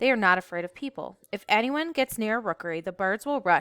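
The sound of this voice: Here is an unforced reading voice. Its intonation is lively.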